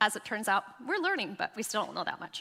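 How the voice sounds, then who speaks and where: A woman talks at a fairly quick pace in a bright, sharp tone. Her intonation is lively. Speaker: health speaker. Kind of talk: talk to women's group. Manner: fast.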